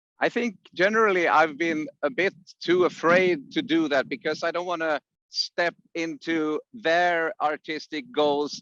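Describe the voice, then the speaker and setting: A man speaks at a fairly slow pace in a high pitch with a bright, sharp tone and ordinary pitch variation. The sound is dry and close, with no echo. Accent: Swedish. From Sweden, Piteå in the north. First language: Swedish. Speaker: musician and songwriting teacher. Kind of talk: interview.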